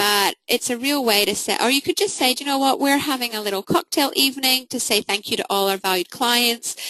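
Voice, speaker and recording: A woman's high-pitched voice, bright and sharp, at a fairly quick pace with hardly any pauses, over a quiet background. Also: lively intonation, dry, close sound with no echo. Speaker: marketing coach. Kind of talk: webinar presentation. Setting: online webinar. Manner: fast.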